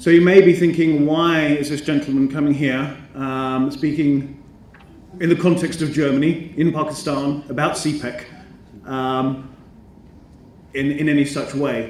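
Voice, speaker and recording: Speaking in a British accent at a fairly slow pace, a man with a fairly high pitch keeps a fairly even intonation, with long, frequent pauses and audible room echo. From Britain. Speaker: educator and business school representative. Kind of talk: conference speech. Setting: conference stage with audience. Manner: formal, hesitant with many ums.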